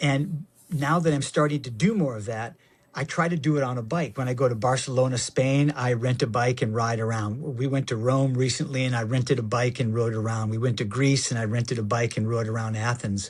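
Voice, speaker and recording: Somewhat breathy and fairly quick, this voice has an American accent and ordinary pitch variation. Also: man, medium pitch for a man. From Michigan. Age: 60s. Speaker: actor and avid cyclist. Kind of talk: casual interview chat. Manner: halting, repeats words.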